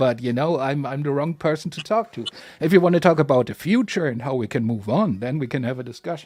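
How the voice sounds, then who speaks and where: With a German accent and lively intonation, the speaker races along at a very fast pace with hardly any pauses. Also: man. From Germany. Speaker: panelist in discussion. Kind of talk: casual chat.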